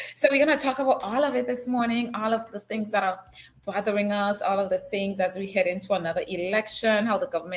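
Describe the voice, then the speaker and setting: A woman's somewhat breathy, fairly high-pitched voice. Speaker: news talk show host. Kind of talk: live-stream news talk. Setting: live stream from an unusual location. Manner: casual and chatty.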